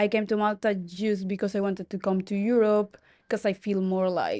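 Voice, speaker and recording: Recorded dry and close with no echo against a quiet background, a woman with a non-native accent speaks at a moderate pace in a dark, mellow tone at a medium pitch. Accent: foreign. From Colombia. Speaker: hotel receptionist. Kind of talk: casual interview.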